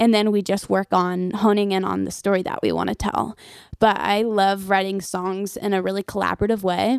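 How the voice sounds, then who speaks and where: Delivered with monotone, flat intonation, the words come at a fairly quick pace. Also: woman, medium pitch for a woman. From Nashville, Tennessee. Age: 20s. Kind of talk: casual interview.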